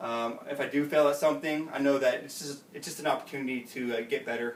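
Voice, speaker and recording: Over noticeable background noise, a man with a fairly high pitch talks at a very fast pace, his intonation fairly even but his loudness swinging widely. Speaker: student, navy veteran. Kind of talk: class speech.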